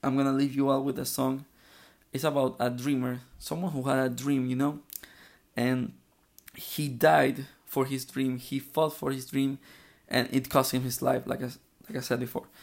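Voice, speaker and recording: A man with a Spanish accent at a medium pitch, moderate pace and fairly even intonation, with long, frequent pauses, in a very clean recording with a silent background. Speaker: podcaster. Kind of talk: solo political commentary podcast. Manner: halting, many fillers and repetitions.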